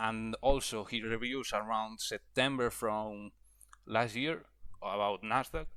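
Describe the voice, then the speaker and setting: A man with a non-native accent speaks at a fairly slow pace in a medium pitch, with fairly even intonation and a bright, sharp tone, on a very clean recording with a silent background. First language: not English. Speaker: trading educator. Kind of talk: tutorial. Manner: halting, with fillers and repetitions.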